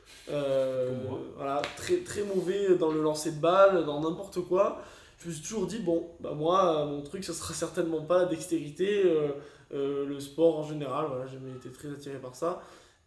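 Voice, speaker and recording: Through audible room echo and noticeable background noise, a man talks at a high pitch with ordinary pitch variation. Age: 20s. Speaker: amateur Olympic boxer. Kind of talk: casual interview. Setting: training camp in the Canary Islands.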